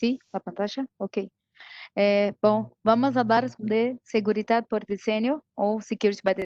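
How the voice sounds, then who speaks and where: In a Brazilian accent, a woman speaks at a fairly slow pace. Her pitch is fairly high and her intonation fairly even. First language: Portuguese (speaking Spanish). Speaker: IT security specialist. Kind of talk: technical presentation. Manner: halting, many fillers.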